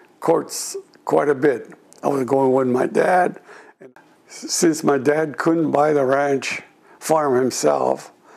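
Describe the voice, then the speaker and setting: A man with an American accent at a very slow pace, with long, frequent pauses over noticeable background noise. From California, US. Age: 80s+. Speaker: war veteran. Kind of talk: oral history interview. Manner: halting.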